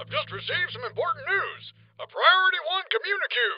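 A woman's put-on character voice, extremely high-pitched, fairly quick, with very wide pitch swings. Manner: formal, urgent.

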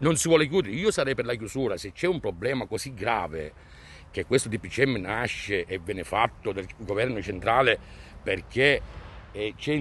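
With very wide pitch swings, a man speaks at medium pitch and a moderate pace. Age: 50s. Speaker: concerned parent. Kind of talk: street interview, protest statement. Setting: outdoors in front of a school.

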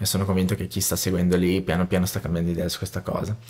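A voice in a Portuguese accent against a quiet background. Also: man. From Brazil. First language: Portuguese (speaking Italian). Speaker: musician and music producer; interview guest, music teacher. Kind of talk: interview conversation. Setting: home studio. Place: studio. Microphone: studio mic.

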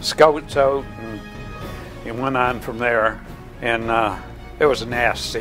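A man with an American accent at a very slow pace, with fairly even intonation and clear music in the background. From Michigan. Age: old. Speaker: war veteran. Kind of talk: interview answer. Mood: earnest, grave recollection. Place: home room. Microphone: lapel.

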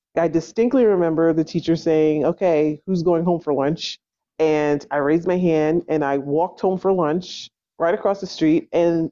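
A plain, everyday voice from a woman with an American accent, fairly low in pitch, at a moderate pace with very even loudness and fairly even intonation. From New Jersey. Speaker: unschooling parent. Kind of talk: interview.

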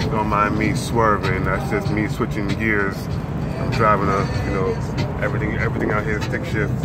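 A man speaks at a moderate pace while music plays in the background. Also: ordinary pitch variation. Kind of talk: casual vlog chat. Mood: relaxed, amused. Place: car. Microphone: phone near.

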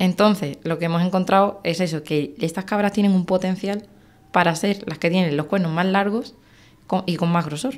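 A woman's ordinary speaking voice at a moderate pace and medium pitch, with ordinary pitch variation. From Andalusia, Spain (Algeciras); Andalusia. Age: 20s. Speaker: wildlife biologist and hunter; guest. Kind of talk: interview. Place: studio. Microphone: studio mic.

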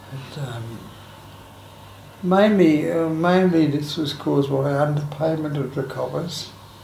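With an Australian accent, a man talks at a very slow pace in a fairly high voice, with light background noise and audible room echo. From Sydney, Australia. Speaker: aged care resident, former lifesaver and sales career. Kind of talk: oral history interview answer. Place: home room. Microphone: camera far.

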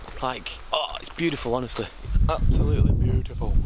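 Against noticeable background noise, a man talks at a moderate pace, the sound dry with no echo. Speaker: vlogger. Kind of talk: casual vlog chat. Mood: excited, happy. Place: garden. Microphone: phone near.

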